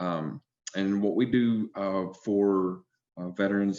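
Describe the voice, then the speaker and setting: A man with an Alabama accent speaks over a quiet background. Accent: Southern US (Alabama). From US South. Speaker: healthcare recruiter, army veteran. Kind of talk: panel discussion. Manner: hesitant, many fillers.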